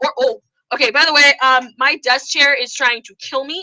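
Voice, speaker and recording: With an American accent, a woman uses a raised, projected voice at a high pitch, sounding animated at a moderate pace, in dry, close sound with no echo. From New York. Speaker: YouTuber and theatre performer. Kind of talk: live stream Q&A. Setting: live online broadcast from home.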